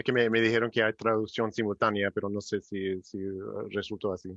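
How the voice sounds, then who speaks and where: The man speaks with an English accent in a dry, close sound with no echo. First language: English (speaking Spanish). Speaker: migration policy researcher. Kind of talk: panel discussion. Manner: halting, many repetitions.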